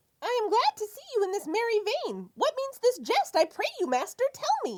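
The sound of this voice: Extremely high pitch in a put-on character voice, at a moderate pace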